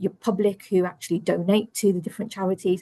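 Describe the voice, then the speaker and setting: A woman's somewhat breathy, medium-pitched voice in an English accent, dark and mellow in tone with fairly even intonation. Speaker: internal audit director. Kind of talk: webinar presentation. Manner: fast.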